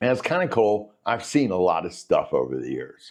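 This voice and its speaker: The background is quiet as a man talks at a fairly slow pace. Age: 60s. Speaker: economics educator. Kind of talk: casual lecture. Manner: conversational.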